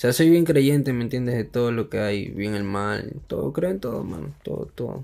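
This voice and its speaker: A man with a Peruvian accent, medium pitch, a dark, mellow tone, lively intonation and a fairly quick pace. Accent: Peruvian Spanish (Lima). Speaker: rapper. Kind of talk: casual chat.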